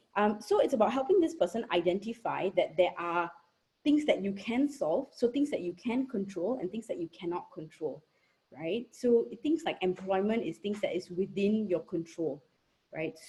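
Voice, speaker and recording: Her voice medium in pitch, dark and mellow in tone, and somewhat breathy, a woman moves at a moderate pace with very wide pitch swings. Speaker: psychologist. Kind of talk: Q&A answer in online talk. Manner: soft-spoken, too quiet at first.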